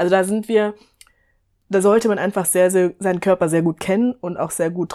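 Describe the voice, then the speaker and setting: A woman's dark, mellow tone, fairly low in pitch with fairly even intonation, on a very clean recording with a silent background. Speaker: podcast co-host on fitness and nutrition. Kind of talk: casual chat.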